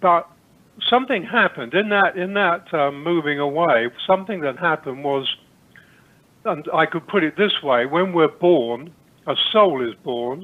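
Here a man speaks with an East Anglian accent. His intonation is lively and his pace moderate. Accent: English, rural East Anglian. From England, Cambridgeshire. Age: 70s. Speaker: spiritual teacher. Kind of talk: interview.

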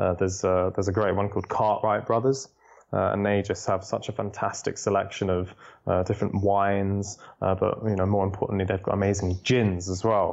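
With a London accent, a man speaks at a fairly quick pace and fairly low pitch, his intonation monotone and flat and his loudness very even. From London, England. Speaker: food tour guide. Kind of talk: interview.

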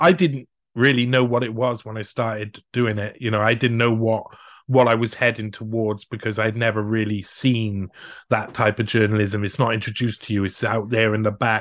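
A man speaks with a Cardiff accent. His intonation is fairly even. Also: medium pitch for a man, moderate pace. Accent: Welsh (Cardiff). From Wales, Cardiff. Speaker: investigative journalist. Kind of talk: interview conversation. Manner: halting, many fillers.

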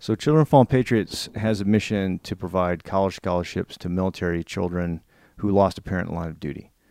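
A man talks very fast with a very deep, low pitch and a dark, mellow tone, his pitch variation ordinary. The sound is dry and close with no echo, in a very clean recording with a silent background. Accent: American. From Virginia, US. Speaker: investment executive and army veteran. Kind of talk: interview.

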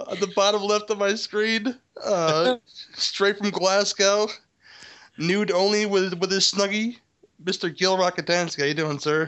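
Fairly even intonation in a man's high voice. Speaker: podcast host. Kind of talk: casual group movie commentary. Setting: Skype call.

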